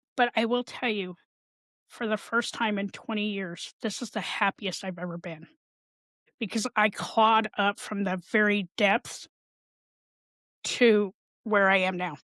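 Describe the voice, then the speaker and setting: Fairly even intonation at a fairly slow pace with long, frequent pauses, in a dry, close sound with no echo and a very clean recording with a silent background. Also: woman, medium pitch for a woman. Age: 60s. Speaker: mental health advocate and podcaster. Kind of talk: interview.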